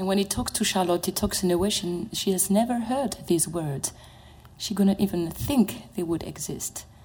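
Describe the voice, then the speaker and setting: With a French accent, a woman of medium pitch speaks at a moderate pace with ordinary pitch variation over noticeable background noise. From France. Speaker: opera mezzo-soprano. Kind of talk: panel discussion. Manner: halting.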